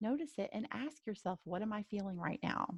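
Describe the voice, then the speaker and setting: With lively intonation and a dark, mellow tone, a woman speaks somewhat breathily in a dry, close sound with no echo. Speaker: life coach. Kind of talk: webinar presentation. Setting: live webinar.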